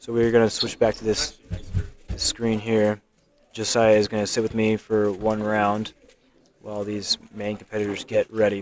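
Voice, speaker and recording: This man mumbles at a moderate pace in a fairly low voice, leaving long, frequent pauses. His intonation stays monotone and flat. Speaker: live stream commentator at a speedcubing competition. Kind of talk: live stream commentary. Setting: live stream at a competition venue. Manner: mumbling; halting.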